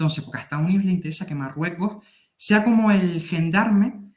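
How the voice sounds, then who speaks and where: A man talks with a Canarian accent. His high pitch carries lively intonation. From Canary Islands. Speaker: military affairs youtuber. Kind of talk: interview. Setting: video call.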